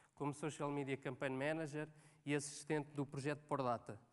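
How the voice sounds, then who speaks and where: A man with a Lisbon accent speaks at a fairly high pitch. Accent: European Portuguese, Lisbon. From Portugal, Cascais area (Lisbon). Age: 30s. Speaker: social media manager, conference speaker. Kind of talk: conference talk. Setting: stage with audience. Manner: hesitant, many fillers.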